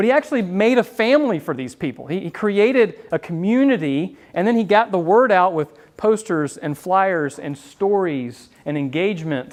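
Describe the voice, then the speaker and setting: Against a quiet background, a man with a slight Southern US accent talks at a high pitch with very wide pitch swings and hardly any pauses. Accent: Southern drawl, mild. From US South, Florida. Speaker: business owner and marketing speaker. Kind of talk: talk to a live audience. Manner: casual, with many fillers.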